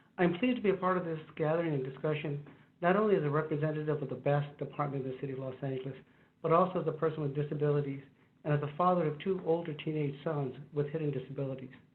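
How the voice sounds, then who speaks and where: Room echo is audible as a man talks at a very fast pace. His pitch is fairly high, with ordinary variation. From US, Chicano (Mexican-American). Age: 50s. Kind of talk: panel discussion. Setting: video call from his office.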